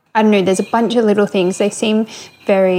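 Her voice is medium in pitch with a dark, mellow tone. The woman speaks with monotone, flat intonation. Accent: Australian. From Australia, Coffs Harbour, New South Wales. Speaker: listener submitting a question, shop worker. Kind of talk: recorded voice question.

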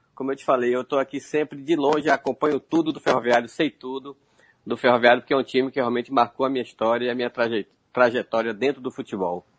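A man at a medium pitch and a very fast pace, fairly even intonation, in a dry, close sound with no echo. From Feira de Santana, Bahia, Brazil. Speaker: retired footballer. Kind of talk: interview.

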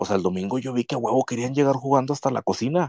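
The voice carries a dark, mellow tone with ordinary pitch variation. The sound is dry and close with no echo, in a very clean recording with a silent background. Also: man. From northern Mexico. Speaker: football fan. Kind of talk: casual chat.

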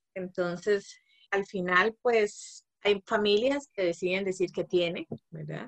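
A woman of medium pitch at a very slow pace. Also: ordinary pitch variation, dry, close sound with no echo. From Costa Rica, Guanacaste. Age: 30s. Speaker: social anthropologist, mother. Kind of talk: interview conversation.

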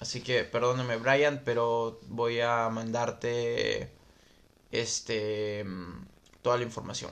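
At a very slow pace with long, frequent pauses, a man speaks in a medium pitch with monotone, flat intonation. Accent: Peruvian. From Peru, Lima. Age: 20s. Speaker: motocross racer and podcast host. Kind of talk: casual livestream chat reading viewer comments. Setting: Facebook live stream recorded as podcast, home microphone.

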